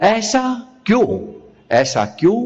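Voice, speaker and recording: A man speaks with a slightly breathy voice, his pitch swinging very widely. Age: 80s+. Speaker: physician. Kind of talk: talk at a religious assembly. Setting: religious assembly with audience. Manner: repetitive, emphatic.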